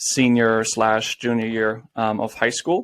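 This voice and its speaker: Speaking with a slight German accent, a man uses a medium pitch, a fairly slow pace and a flat, monotone intonation. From Germany (Bayreuth, Bavaria). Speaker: former college tennis player and entrepreneur. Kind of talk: podcast interview.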